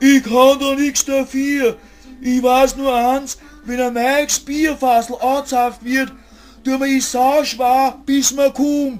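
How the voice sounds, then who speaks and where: Putting on a character voice, a man speaks at a fairly slow pace with an extremely high pitch and monotone, flat intonation. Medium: audio drama. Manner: crude, cheeky.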